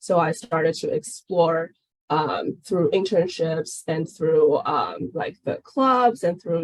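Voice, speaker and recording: A woman with a Chinese accent speaks at a fairly low pitch. Her pace is fairly slow. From China. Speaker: game product manager. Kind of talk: webinar Q&A.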